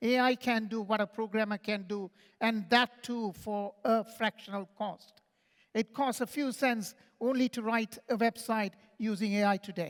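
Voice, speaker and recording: A man with a high voice speaks in a fairly even intonation, recorded dry and close with no echo. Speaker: conference speaker on AI. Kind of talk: conference talk. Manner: fast; halting with restarts.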